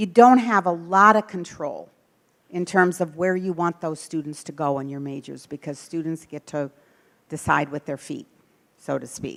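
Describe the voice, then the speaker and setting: A woman talks at a moderate pace and a fairly low pitch, with ordinary pitch variation, on a very clean recording with a silent background. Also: big swings in loudness. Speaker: former university president, speaker on academic planning. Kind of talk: presentation to faculty.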